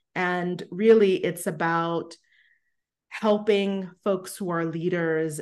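Against a quiet background, a woman with an American accent and an unremarkable speaking voice talks at a fairly slow pace in a fairly low pitch, with fairly even intonation. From New York City, Brooklyn. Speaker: embodiment practitioner and coach. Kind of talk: interview.

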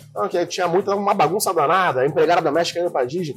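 A man talks at a very fast pace and fairly high pitch with ordinary pitch variation, music playing in the background. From Rio de Janeiro, Zona Norte (Anchieta). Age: 30s. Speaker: lawyer. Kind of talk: casual chat. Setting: recorded at a friend's house, drinking beer.

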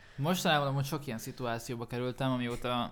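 A man's unremarkable speaking voice at a medium pitch, fairly quick in pace and fairly even in intonation, on a very clean recording with a silent background. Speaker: rapper and songwriter. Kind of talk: casual chat.

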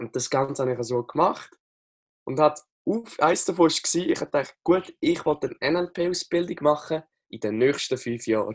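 A man with a Lucerne accent speaks at a moderate pace in a fairly high voice, his intonation lively and the sound dry and close with no echo. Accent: Swiss German (Lucerne). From Switzerland, Lucerne. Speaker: NLP coach and social media coach. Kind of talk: casual interview.

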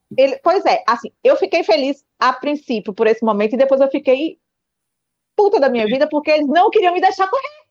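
Her high voice swinging very widely in pitch, a woman speaks at a fairly quick pace, recorded with a dry, close sound and no echo. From Pernambuco, northeast Brazil. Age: 40s. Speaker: nurse and amateur runner. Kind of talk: interview.

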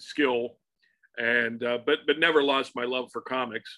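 With an American accent, a man speaks at a moderate pace and medium pitch in a flat, monotone way. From Pittsburgh, Pennsylvania. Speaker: comic book artist. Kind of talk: casual interview. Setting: home studio.

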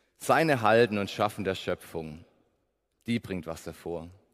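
A man's fairly low voice at a fairly slow pace, with ordinary pitch variation, on a very clean recording with a silent background. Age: 20s. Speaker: preacher. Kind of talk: sermon. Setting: church service.

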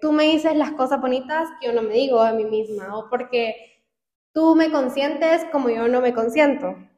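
This woman's voice is high-pitched. Her pitch varies in an ordinary way. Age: 20s. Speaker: podcast co-host. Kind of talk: casual chat.

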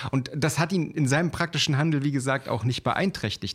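In a very clean recording with a silent background, a man with an ordinary speaking voice talks at a fairly quick pace with ordinary pitch variation. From eastern Germany (former GDR). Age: 30s. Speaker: trading educator, podcast co-host. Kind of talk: casual chat.

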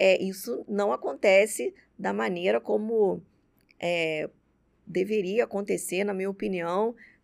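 The woman's voice sits at a medium pitch, with lively intonation. She speaks at a very slow pace. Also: very clean recording, silent background. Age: 30s. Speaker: dentist and entrepreneur. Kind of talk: interview conversation. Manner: halting, many fillers.

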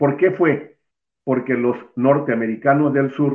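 Speaking very slowly, a man with a medium pitch keeps his intonation fairly even. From Mexico, Veracruz. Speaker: alternative medicine practitioner. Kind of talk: interview. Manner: formal.

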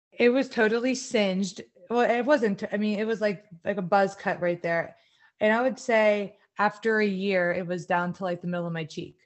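A woman with an unremarkable speaking voice, medium pitch, moderate pace and ordinary pitch variation. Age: 30s. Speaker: podcast co-host. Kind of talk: casual chat.

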